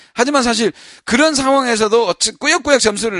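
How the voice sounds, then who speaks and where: A man talks at a very fast pace in a high-pitched voice with a bright, sharp tone. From Busan, South Korea. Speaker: baseball podcast co-host. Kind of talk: casual chat.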